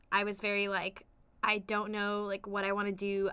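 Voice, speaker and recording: A woman speaks at a moderate pace with a fairly high pitch and a bright, sharp tone. The recording is very clean, with a silent background. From US West Coast, La Mirada, California. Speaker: college student. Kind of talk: casual interview.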